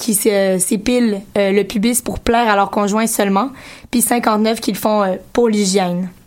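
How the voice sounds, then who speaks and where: The delivery is very slow, with monotone, flat intonation. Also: woman. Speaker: radio columnist. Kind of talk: radio segment on community station.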